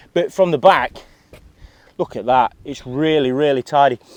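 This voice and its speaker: A man speaks with an English accent and a fairly high pitch. His pitch varies in an ordinary way, and the sound is dry and close with no echo. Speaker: motorcycle reviewer. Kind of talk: product review. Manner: fast; animated.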